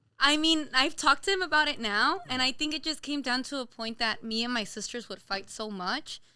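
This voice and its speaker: Raising and projecting her voice, a woman with an American accent speaks at a fairly quick pace with hardly any pauses, a high pitch, a bright, sharp tone and lively intonation. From Los Angeles area, California. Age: 20s. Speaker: small business owner, baker. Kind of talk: casual interview chat.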